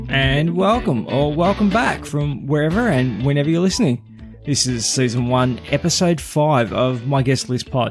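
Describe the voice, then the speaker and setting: Over music in the background, a man at a medium pitch talks at a moderate pace with lively intonation, very even loudness and hardly any pauses. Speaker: podcast host. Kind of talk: podcast interview, casual conversation.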